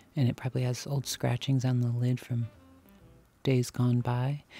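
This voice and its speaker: At a moderate pace, a man speaks with a dark, mellow, somewhat breathy tone and monotone, flat intonation, the sound dry with no echo. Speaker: vlogger browsing antiques. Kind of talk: casual vlog chat. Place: shop. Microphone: phone near.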